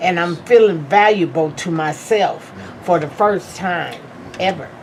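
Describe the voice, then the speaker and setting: Amid noticeable background noise, a woman speaks fairly slowly in a fairly low voice with ordinary pitch variation. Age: 60s. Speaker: class participant. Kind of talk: testimony.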